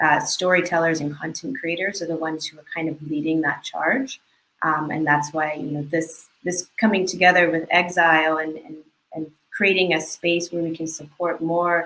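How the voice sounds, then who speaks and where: A woman's fairly low voice, an unremarkable speaking voice with fairly even intonation. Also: moderate pace. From United States. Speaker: creative producer. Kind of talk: panel discussion. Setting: video call.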